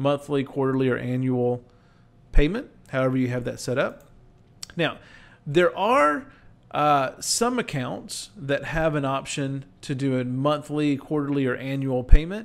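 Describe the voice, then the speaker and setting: A man is speaking at a fairly slow pace. His pitch varies in an ordinary way. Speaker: presenter. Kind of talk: tutorial. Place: home room. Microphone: webcam.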